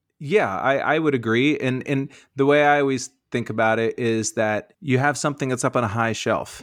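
A plain, everyday voice from a man with an American accent, medium pitch, moderate pace and ordinary pitch variation over a quiet background. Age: 40s. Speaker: stand-up comedian. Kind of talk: casual interview chat.

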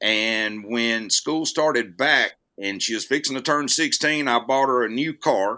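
This man's voice has a bright, sharp tone and lively intonation, with a Southern US accent. The recording is very clean, with a silent background. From US South, north Alabama. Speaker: actor. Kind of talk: casual chat.

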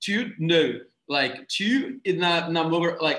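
This man speaks with a Brazilian accent at a fairly high pitch. His intonation is lively. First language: Portuguese. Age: 20s. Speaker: marketing professional. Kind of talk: casual conversation. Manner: animated.

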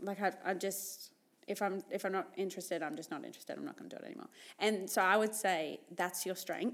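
A woman with an Australian accent talks at a very fast pace, her medium pitch carrying vocal fry and fairly even intonation. Her loudness swings widely on a very clean recording with a silent background. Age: 20s. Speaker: podcast co-host. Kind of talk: casual chat.

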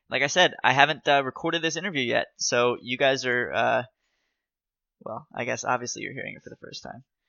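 The pace is fairly quick. Loudness swings widely. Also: man. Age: 20s. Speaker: podcast host. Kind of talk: interview.

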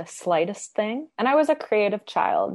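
A woman with a western Canadian accent talks at a moderate pace. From Canada, Edmonton (Alberta). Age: 20s. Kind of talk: interview.

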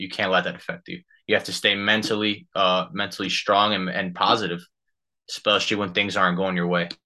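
A man's fairly low, monotone, flat voice with a bright, sharp tone at a moderate pace against a quiet background. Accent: New Jersey. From New Jersey, US. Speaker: professional soccer player. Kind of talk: casual interview.

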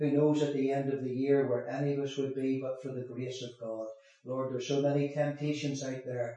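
Speaking in a Northern Irish accent, a man holds a medium pitch with monotone, flat intonation. Room echo is audible and background noise is noticeable. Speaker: former prisoner turned evangelist. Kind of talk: testimony.

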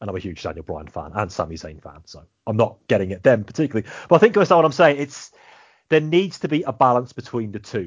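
A man with an English accent, medium pitch, very wide pitch swings, vocal fry, a very fast pace and big swings in loudness. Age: 30s. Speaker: podcast host. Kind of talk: casual chat.

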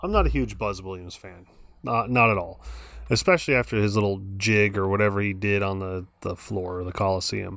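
This man has an ordinary speaking voice, fairly low in pitch, with ordinary pitch variation and a fairly quick pace. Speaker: podcast co-host, sports fan. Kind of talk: casual chat.

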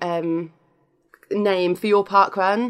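A British accent marks this woman's voice, pitched at a medium level. She talks at a very slow pace. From United Kingdom. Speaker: podcaster. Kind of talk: casual chat.

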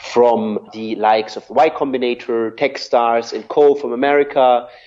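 A man with a German accent, medium pitch, fairly even intonation, and a moderate pace. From southern Germany. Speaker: media executive. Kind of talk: interview.

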